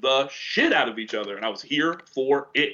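An American man's raised, projected voice, bright and sharp in tone, at a moderate pace. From upstate New York. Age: 40s. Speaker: comedian. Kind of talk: casual chat. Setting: studio.

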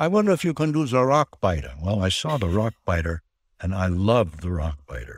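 Fairly low in pitch, a man talks at a fairly quick pace with very wide pitch swings. The recording is very clean, with a silent background and a dry, close sound with no echo. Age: 80s+. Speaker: voice actor. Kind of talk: casual interview.

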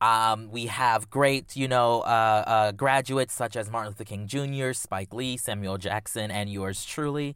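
An ordinary speaking voice, a man at a medium pitch talks with an American accent and hardly any pauses on a very clean recording with a silent background. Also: fairly even intonation, moderate pace. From South Carolina. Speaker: journalist and podcaster. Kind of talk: casual interview chat.

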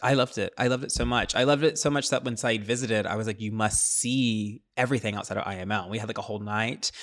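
Speaking at a very fast pace, a man keeps a medium pitch and fairly even intonation in a very clean recording with a silent background. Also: hardly any pauses. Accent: American. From US Midwest. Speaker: journalist and podcast co-host. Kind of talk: casual chat.

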